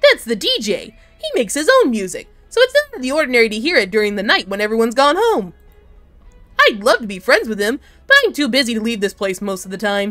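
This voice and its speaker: A female-sounding, put-on character voice, fairly high and fairly quick, with an energetic, bubbly tone. Faint music plays in the background. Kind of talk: fan-game voice acting. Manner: energetic, bubbly, friendly.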